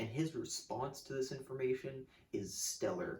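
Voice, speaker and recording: A man speaks at a fairly slow pace in a medium pitch, his tone dark and mellow and somewhat breathy. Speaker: music video essayist. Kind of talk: scripted video essay. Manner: casual, animated; occasional stutter.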